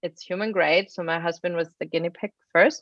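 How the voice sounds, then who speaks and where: A woman speaks with a German accent at a fairly low pitch. Her intonation stays fairly even. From Germany. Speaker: biotech engineer and pet supplement founder. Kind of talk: interview.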